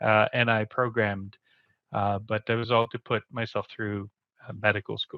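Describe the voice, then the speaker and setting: A man speaks with a Quebec accent at a fairly low pitch. His intonation is monotone and flat. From Quebec City, Canada. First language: French. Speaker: community program manager, show co-host. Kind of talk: casual interview.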